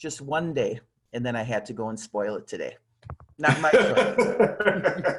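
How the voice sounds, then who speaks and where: A man talks at a fairly slow pace, with big swings in loudness. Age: 60s. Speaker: fan on a video chat. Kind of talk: casual chat. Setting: video call.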